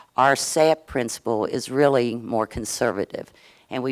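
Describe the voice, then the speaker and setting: With a Southern US accent, a woman talks at a moderate pace in a very deep, low voice, recorded very clean with a silent background and a dry, close sound with no echo. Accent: Southern US twang. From US South, Kentucky. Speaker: state insurance regulator. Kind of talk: conference presentation. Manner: halting, with fillers.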